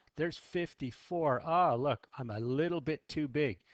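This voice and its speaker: At a fairly slow pace, a man speaks in a plain, everyday voice with ordinary pitch variation, the sound dry and close with no echo against a quiet background. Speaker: math teacher. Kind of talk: tutorial.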